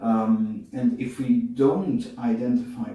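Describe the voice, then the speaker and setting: Audible room echo surrounds a man of medium pitch whose voice makes very wide pitch swings. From Netherlands. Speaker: bodywork method founder. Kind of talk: interview. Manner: hesitant, many fillers.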